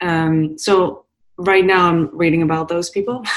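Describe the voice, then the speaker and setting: A woman speaks at a fairly low pitch with ordinary pitch variation. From Amsterdam, Netherlands. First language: Dutch. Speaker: entrepreneur and podcast host. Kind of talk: casual interview.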